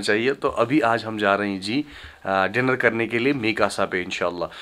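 The voice moves at a fairly quick pace, with ordinary pitch variation and a fairly bright tone. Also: man.

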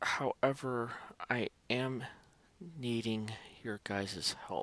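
A soft-spoken man talks at a very slow pace with fairly even intonation. The sound is dry, with no echo. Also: medium pitch for a man. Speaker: tech YouTuber. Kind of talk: casual tutorial vlog. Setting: at home at night. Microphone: headset.

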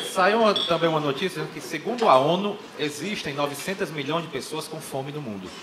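A man's fairly high, animated and playful voice with lively intonation, moderate pace and noticeable background noise. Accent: Brazilian. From Brazil. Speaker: stand-up comedian. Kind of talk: stand-up comedy. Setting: stage with audience. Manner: animated, playful, acting out dialogues; joke-driven, conversational, with punchlines. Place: stage. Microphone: handheld.

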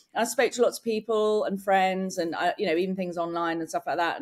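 Against a quiet background, a woman with an English accent and a medium pitch talks at a fairly quick pace with lively intonation. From England. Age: 40s. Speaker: entrepreneur and inventor; podcast guest. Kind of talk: casual chat. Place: home room.

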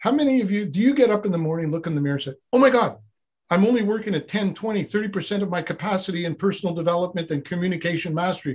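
Against a quiet background, a man with a high pitch talks at a very fast pace with ordinary pitch variation. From Montreal, Quebec. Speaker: former Zen monk, personal development coach; personal development coach. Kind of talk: interview conversation. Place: studio. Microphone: video call.

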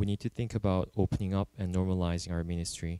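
The voice has a dark, mellow tone, a fairly quick pace and fairly even intonation, in a dry, close sound with no echo. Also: man. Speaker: church service leader. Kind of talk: prayer and announcements. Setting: church.

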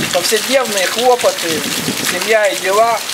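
Loud background noise behind a man's moderate pace. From Odesa, Ukraine. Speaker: poet. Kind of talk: satirical poetry reading. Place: waterside.

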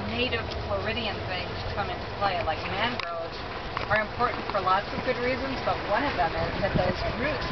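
Loud background noise fills the clip. The speaker talks at a fairly quick pace. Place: boat. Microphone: camera far.

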